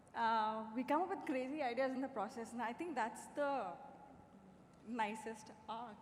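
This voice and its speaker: A soft-spoken woman at a fairly high pitch, moderate pace and ordinary pitch variation, with audible room echo. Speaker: screenwriter. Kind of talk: panel Q&A.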